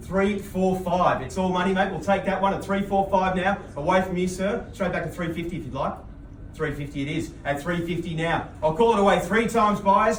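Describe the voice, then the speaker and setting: A man with an Australian accent speaks at a fairly quick pace in a high pitch. Noticeable background noise is present. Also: fairly even intonation. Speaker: auctioneer. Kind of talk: auctioneer bid calling. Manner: fast, rhythmic, patter of bids and prices.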